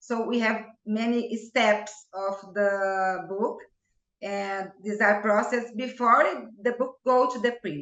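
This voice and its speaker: In a Portuguese accent, a woman with a fairly high pitch speaks at a very slow pace. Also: fairly even intonation. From Brazil. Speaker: homeopath. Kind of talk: interview.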